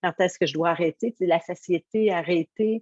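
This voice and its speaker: With a Quebec accent, a woman speaks at a fairly slow pace and a fairly low pitch in an energetic, warm tone, the sound dry and close with no echo. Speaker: motivational coach. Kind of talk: interview answer.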